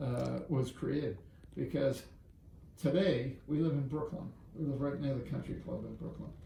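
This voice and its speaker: Amid noticeable background noise and audible room echo, a man with an American accent speaks at a moderate pace and fairly high pitch, with ordinary pitch variation and long, frequent pauses. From Boston area, Massachusetts. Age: 70s. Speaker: business executive and philanthropist. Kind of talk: interview storytelling.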